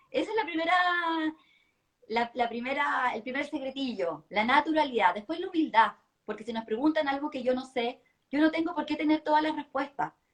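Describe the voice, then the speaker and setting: Her pitch is high and her intonation lively. The woman talks at a fairly quick pace. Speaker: public speaking coach. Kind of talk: live-stream interview chat. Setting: online live stream. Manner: fast.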